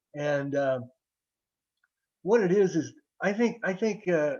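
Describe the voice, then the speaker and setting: A man talks in an American accent, his intonation lively. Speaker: novelist and jazz guitarist. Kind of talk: interview. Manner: halting, many repetitions and fillers.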